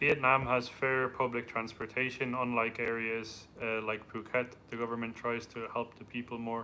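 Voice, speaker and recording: This man talks at a moderate pace and medium pitch in an Irish accent. His intonation is monotone and flat. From Ireland. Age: 30s. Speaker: travel vlogger. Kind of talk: live stream Q&A.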